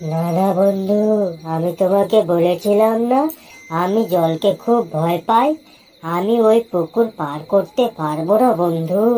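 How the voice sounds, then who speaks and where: A cartoonish character voice sounds female and sits at a middle pitch. It moves at a fairly slow pace. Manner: simple, eager.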